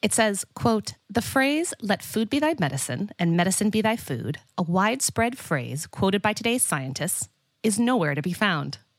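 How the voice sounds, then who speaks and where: At a moderate pace, a woman with vocal fry speaks at medium pitch with very wide pitch swings and very even loudness, in a very clean recording with a silent background. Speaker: podcast co-host, dietitian. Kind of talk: casual podcast chat.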